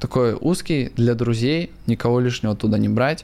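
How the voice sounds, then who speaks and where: A man's dark, mellow tone at a moderate pace. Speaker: crypto investor and blogger. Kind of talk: casual interview.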